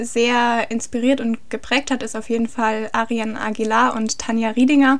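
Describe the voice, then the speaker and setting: Noticeable background noise sits behind a woman who speaks in a fairly high pitch at a moderate pace with flat, monotone intonation. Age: 20s. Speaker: horse trainer and equine physiotherapist. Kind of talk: interview. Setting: home recording with partner.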